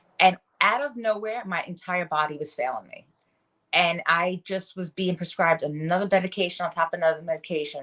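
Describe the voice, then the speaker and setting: A woman with a New York accent speaks in a fairly low pitch with a bright, sharp tone. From New York City area. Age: 40s. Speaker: wellness coach. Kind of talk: podcast interview, personal testimony.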